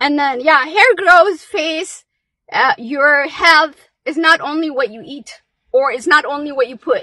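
Speaking at a fairly slow pace, a woman projects a raised voice at a high pitch, with ordinary pitch variation and big swings in loudness. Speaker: live-stream vlogger. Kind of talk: pep talk; casual live chat. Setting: outdoors, in a car at a park, live stream. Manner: animated, urgent, rallying, challenging the audience; energetic, chatty.

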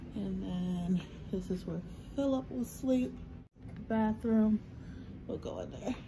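Noticeable background noise behind a woman at a fairly slow pace. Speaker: expectant mother vlogger. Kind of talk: casual vlog chat. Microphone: phone near.

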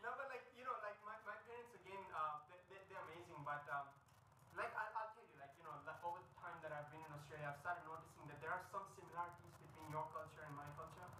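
Noticeable background noise and audible room echo accompany a man speaking very fast in a high voice. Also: ordinary pitch variation, big swings in loudness. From India (Mumbai); India. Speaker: stand-up comedian. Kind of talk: stand-up. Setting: stage with audience at a corporate event. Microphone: poor quality audio recording; camera far.

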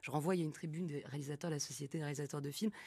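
A woman's somewhat breathy voice with a dark, mellow tone, talking very fast against a quiet background. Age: 30s. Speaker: film director; guest. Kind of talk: live radio interview. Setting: live broadcast from the festival venue. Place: studio. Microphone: studio mic.

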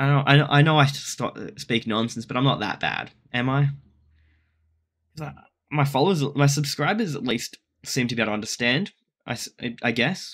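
A man with a strong Australian accent speaks at a fairly high pitch with ordinary pitch variation. He leaves long, frequent pauses. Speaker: content creator. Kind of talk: reaction video. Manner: fast; animated. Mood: relaxed, mildly defensive. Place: home room. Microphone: webcam.

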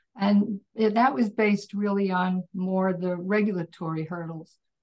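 A somewhat breathy woman speaks with fairly even intonation. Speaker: manufacturer and exporter. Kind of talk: interview. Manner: quiet. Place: home room. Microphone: far from the mic; video call.

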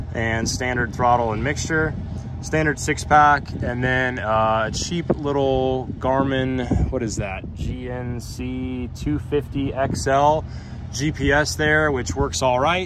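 A man speaks at a very slow pace with ordinary pitch variation. The sound is dry with no echo, but background noise is noticeable. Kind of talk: casual vlog chat. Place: street. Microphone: phone near.

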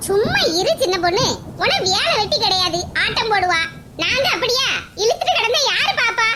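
In a cartoonish character voice, a woman talks at a fairly slow pace with an extremely high pitch. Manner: defensive, snappy.

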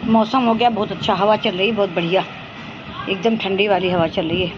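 Loud background noise sits behind this voice. A woman talks at a moderate pace. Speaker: homemaker vlogger. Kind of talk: casual vlog chat. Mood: relaxed, chatty. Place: home room. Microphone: phone near.

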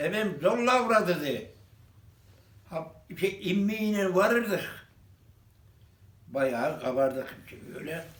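Speaking at a very slow pace, a man uses a high pitch for a man and lively intonation. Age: 80s+. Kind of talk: interview answer.

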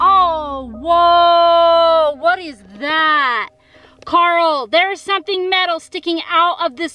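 A raised, projected voice at a very slow pace, dry with no echo. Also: woman. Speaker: vlogger. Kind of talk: casual vlog chat. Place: tunnel cave. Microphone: phone near.

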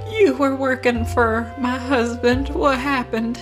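Clear music plays behind a breathy, put-on character voice delivered at a fairly slow pace. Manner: wailing, distressed.

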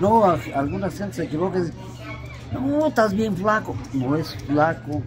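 A man speaks at a fairly high pitch with very wide pitch swings. Faint music plays in the background. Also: moderate pace. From Morelia, Michoacán, Mexico; Michoacán, Mexico. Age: 80s+. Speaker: furniture vendor. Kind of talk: interview answer. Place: street. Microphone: camera far.

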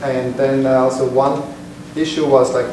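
A man talks at a medium pitch. Noticeable background noise and audible room echo are present. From Switzerland. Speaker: software developer, meetup presenter. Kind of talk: technical lecture. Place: meeting room. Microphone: camera far.

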